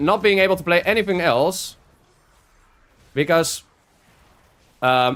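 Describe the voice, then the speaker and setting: A man speaks with a Dutch accent at a fairly slow pace, his pitch high with ordinary variation. Long pauses come often. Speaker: video game streamer. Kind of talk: casual live-stream chat while gaming. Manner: halting, with frequent fillers and restarts.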